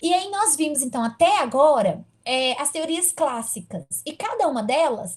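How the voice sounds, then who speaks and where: A woman at a fairly slow pace, her pitch swinging very widely. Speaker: university lecturer. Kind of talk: online lecture.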